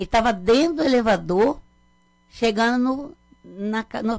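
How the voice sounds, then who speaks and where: Speaking at a moderate pace with long, frequent pauses, a woman uses a high voice and lively intonation. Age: 60s. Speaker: mother of a murdered man. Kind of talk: radio interview. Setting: radio studio.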